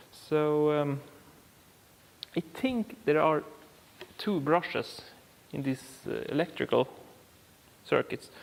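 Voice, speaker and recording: Speech in a Swedish accent moves at a very slow pace with long, frequent pauses and ordinary pitch variation. Noticeable background noise runs underneath. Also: man, fairly high pitch for a man. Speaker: car repair YouTuber. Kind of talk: tutorial. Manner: halting, many fillers.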